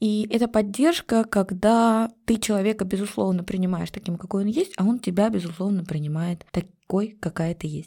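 Her voice has a dark, mellow tone at a medium pitch, with ordinary pitch variation. The woman keeps a moderate pace with hardly any pauses. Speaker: genealogy and family-history psychologist. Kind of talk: emotional podcast interview.

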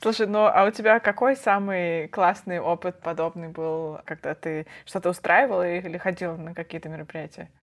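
With an ordinary speaking voice, a woman talks at a fairly low pitch and a moderate pace, using ordinary pitch variation, big swings in loudness and hardly any pauses. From Russia, Perm. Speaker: podcast co-host. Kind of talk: casual chat.

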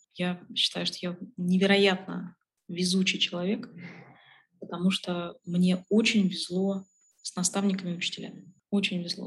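A woman talks at a moderate pace with a medium pitch and monotone, flat intonation. Her voice is somewhat breathy. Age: 30s. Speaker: logistics executive. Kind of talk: interview.

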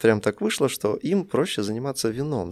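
In a very clean recording with a silent background and a dry, close sound with no echo, a man with a medium pitch speaks at a moderate pace with lively intonation in an unremarkable speaking voice. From Russia. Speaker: tea shop founder. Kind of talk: casual interview.

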